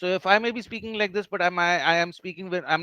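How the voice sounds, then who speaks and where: Talking at a very fast pace, a man keeps his high pitch in fairly even intonation. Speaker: team trainer leading a session. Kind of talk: online training session. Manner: halting, many fillers.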